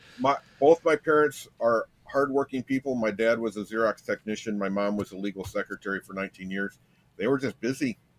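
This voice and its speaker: A medium-pitched man at a fairly quick pace, ordinary pitch variation, dry and close with no echo. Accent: Michigan. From US Midwest, Michigan and Ohio, raised partly in Las Vegas. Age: 50s. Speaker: podcast guest sharing life story. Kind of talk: personal testimony in interview. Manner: halting, frequent repetitions.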